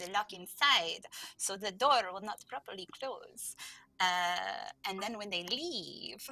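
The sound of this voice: Just an unforced reading voice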